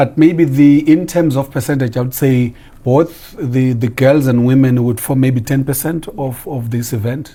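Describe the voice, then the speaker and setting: Somewhat breathy and dark, mellow in tone, a man speaks at a medium pitch and moderate pace with fairly even intonation. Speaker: diplomat. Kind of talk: TV interview.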